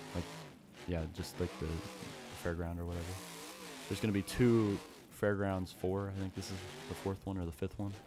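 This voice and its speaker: Music plays in the background as a man speaks at a moderate pace with a very deep, low pitch. His intonation is fairly even, broken by long, frequent pauses. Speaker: gaming streamer. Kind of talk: casual live-stream chat. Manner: stuttering; halting.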